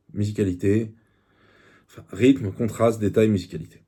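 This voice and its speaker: A man's fairly low, dark and mellow voice, somewhat breathy, with fairly even intonation and a Parisian accent. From France, Paris. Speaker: YouTuber book reviewer. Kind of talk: book review monologue. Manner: hesitant, many fillers.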